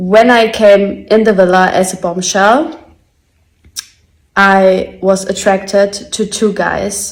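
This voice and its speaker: Here a woman talks with a German accent. Her intonation stays fairly even. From Germany. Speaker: reality TV contestant. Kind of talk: personal video statement.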